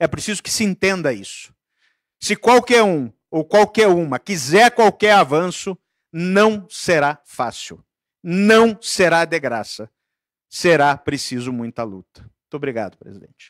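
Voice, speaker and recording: A man with a high pitch talks at a fairly slow pace, making very wide pitch swings and big swings in loudness, in a dry sound with no echo against a quiet background. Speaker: union president; panelist. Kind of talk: union rally speech. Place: meeting room. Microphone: handheld.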